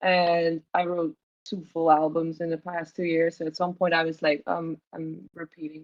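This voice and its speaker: A woman with a non-native accent speaks at a moderate pace in a fairly low voice. Her intonation is monotone and flat. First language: not English. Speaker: singer and lyricist in a band. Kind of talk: casual interview chat.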